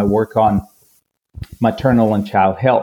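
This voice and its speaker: A man with a Spanish accent speaks at medium pitch. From Colombia. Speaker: physician. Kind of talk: interview.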